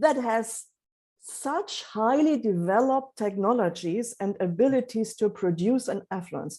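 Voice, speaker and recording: A woman speaks at a fairly slow pace with a fairly high pitch. Her tone is dark and mellow, and her intonation is lively. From East Germany. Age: 60s. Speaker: economist. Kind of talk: interview conversation.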